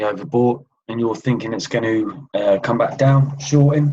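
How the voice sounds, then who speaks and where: Fairly slow speech carries ordinary pitch variation throughout. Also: man. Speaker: trading educator. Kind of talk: tutorial. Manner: hesitant with fillers.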